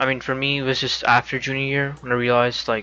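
A man with an ordinary speaking voice and medium pitch talks at a fairly quick pace with fairly even intonation. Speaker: stream host. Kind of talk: casual group chat about anxiety. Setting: live stream with chat.

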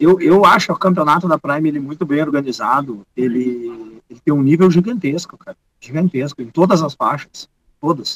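At a moderate pace, a man talks with a fairly high pitch and ordinary pitch variation, the sound dry and close with no echo. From Rio Grande do Sul, Brazil (Gramado, Montenegro). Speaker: jiu-jitsu teacher and competitor. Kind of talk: casual interview chat. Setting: remote video call.

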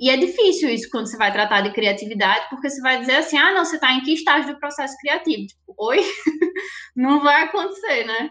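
A very fast, raised and projected voice with very wide pitch swings and big swings in loudness. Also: woman, high pitch for a woman. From Recife, Pernambuco, Brazil. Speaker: project manager at an advertising agency. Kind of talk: podcast interview.

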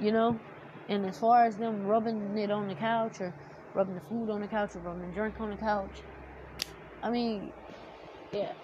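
A woman speaks at a moderate pace with a fairly high pitch and an animated tone, leaving long, frequent pauses. Noticeable background noise runs underneath. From US South. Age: 20s. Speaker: podcaster. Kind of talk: personal monologue. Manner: casual, animated.

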